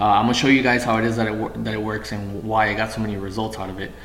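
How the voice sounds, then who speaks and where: Over noticeable background noise and audible room echo, a man with a fairly low pitch talks at a very fast pace in a monotone, flat intonation. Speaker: online marketing vlogger. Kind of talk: tutorial.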